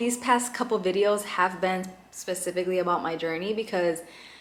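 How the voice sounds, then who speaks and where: Moderate pacing from a woman at a medium pitch, her voice carrying audible room echo. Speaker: lifestyle and faith vlogger. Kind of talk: casual vlog talk to camera. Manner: chatty, informal.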